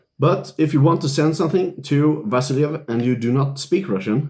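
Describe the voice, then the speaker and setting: Somewhat breathy, a man speaks at a moderate pace with lively intonation. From Sweden. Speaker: Zen Buddhist priest. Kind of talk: casual video commentary. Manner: conversational with fillers.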